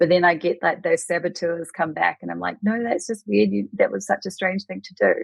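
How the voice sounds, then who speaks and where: Woman's voice with a New Zealand accent. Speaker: Reiki master teacher. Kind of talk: podcast interview answer.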